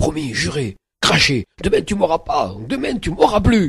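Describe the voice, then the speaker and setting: Putting on a character voice, a man speaks in a high pitch at a moderate pace. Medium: read story. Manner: coarse, touchy.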